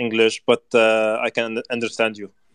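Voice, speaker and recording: A man at a very slow pace, dry and close with no echo. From Lebanon. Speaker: marathon runner. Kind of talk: casual interview. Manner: halting.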